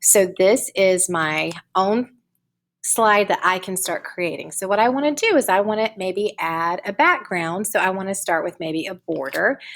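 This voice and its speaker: On a very clean recording with a silent background, a woman speaks at a medium pitch with ordinary pitch variation. Hers is an unremarkable speaking voice. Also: moderate pace. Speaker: teacher. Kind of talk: tutorial. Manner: casual.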